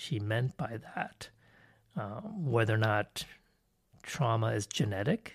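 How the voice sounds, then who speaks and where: On a very clean recording with a silent background, a somewhat breathy man talks at a fairly slow pace. His medium-pitched voice has lively intonation. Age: 50s. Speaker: psychology professor and podcast host. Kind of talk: solo educational podcast monologue. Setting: solo recording. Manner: casual with frequent filler words.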